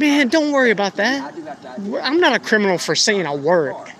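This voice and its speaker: A man at a moderate pace, his pitch swinging very widely, over noticeable background noise. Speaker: citizen journalist. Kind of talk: heated debate. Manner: loud.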